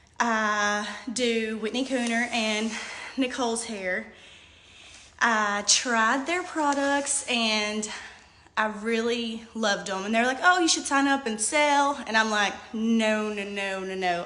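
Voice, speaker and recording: In a room with audible echo, a woman speaks at a very slow pace in a fairly high pitch with ordinary variation and a bright, sharp tone. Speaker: hairstylist and direct sales seller. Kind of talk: live video testimony. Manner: hesitant, many fillers.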